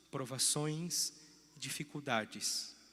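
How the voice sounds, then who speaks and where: Speaking very slowly, a man with a fairly high pitch keeps a bright, sharp tone and fairly even intonation. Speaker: parish priest. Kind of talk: sermon. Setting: church.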